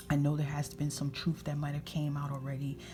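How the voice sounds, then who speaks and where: Noticeable background noise sits behind a soft-spoken woman who is whispering. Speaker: tarot reader. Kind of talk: tarot reading, intuitive guidance to camera. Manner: soft-spoken, whispering (ASMR style).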